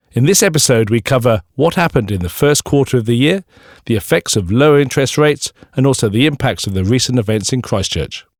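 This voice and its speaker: Lively intonation at a very fast pace, in a dry, close sound with no echo on a very clean recording with a silent background. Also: man, medium pitch for a man. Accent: Welsh. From Wales. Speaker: podcast host, bank investment staff. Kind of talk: casual podcast chat. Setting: studio.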